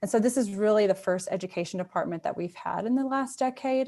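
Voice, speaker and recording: A woman with a Mississippi accent talks at medium pitch with lively intonation. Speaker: museum curator. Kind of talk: presentation. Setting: video call.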